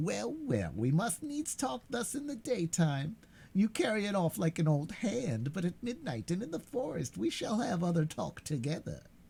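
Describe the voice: A man does a put-on character voice, pitched high and cackling, with very wide swings in pitch. He moves at a moderate pace with hardly any pauses.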